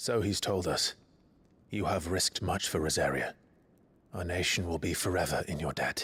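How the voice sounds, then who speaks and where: In a very clean recording with a silent background, a put-on character voice with fairly even intonation moves at a moderate pace, pausing long and often. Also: man, very deep, low pitch for a man. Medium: video game. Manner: earnest, restrained.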